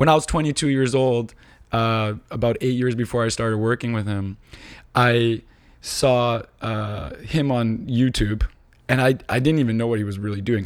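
A man with a normal speaking voice, medium-pitched, at a moderate pace and with fairly even intonation, in a very clean recording with a silent background. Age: 30s. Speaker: tech entrepreneur. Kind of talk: casual chat.

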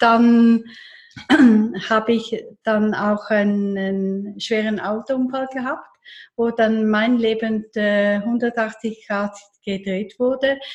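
A woman's somewhat breathy, fairly high voice at a very slow pace, with fairly even intonation. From eastern Switzerland, near Lake Constance. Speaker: therapist. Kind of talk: casual interview.

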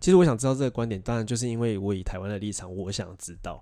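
On a very clean recording with a silent background, a man with a dark, mellow tone speaks at a medium pitch and a very fast pace. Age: 20s. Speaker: podcast co-host. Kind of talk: casual chat.

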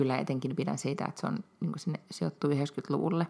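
A woman's very deep, low-pitched voice with vocal fry, ordinary pitch variation and a moderate pace. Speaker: podcast co-host. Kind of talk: casual chat.

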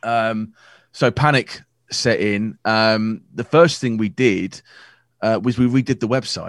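In a very clean recording with a silent background, a man with an American accent and a plain, everyday voice speaks fairly slowly at a medium pitch with fairly even intonation. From USA. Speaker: wedding photographer. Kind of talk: casual chat.

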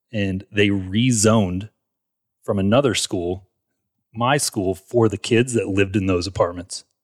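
A man's plain, everyday voice, fairly low in pitch, in an American accent at a fairly slow pace, on a very clean recording with a silent background. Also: fairly even intonation, dry, close sound with no echo. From US South, Atlanta suburbs, Georgia. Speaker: realtor, former elementary school teacher. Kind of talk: casual interview.

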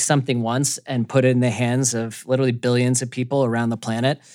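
A man with an American accent talks at a very fast pace at medium pitch. The recording is very clean, with a silent background. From US South, Atlanta, Georgia. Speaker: video game company executive. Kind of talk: interview. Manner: conversational with frequent fillers and repetitions.

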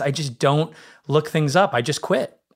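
Playful in tone, a man speaks at a fairly quick pace on a very clean recording with a silent background. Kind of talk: casual chat. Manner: joking, playful.

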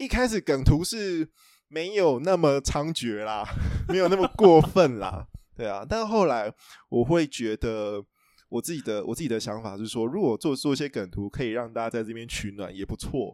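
With a Taiwanese accent, a man talks at a moderate pace, his pitch swinging very widely. The recording is very clean with a silent background, and the sound is dry and close with no echo. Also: medium pitch for a man. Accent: Taiwanese Mandarin. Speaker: book editor. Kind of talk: casual chat.

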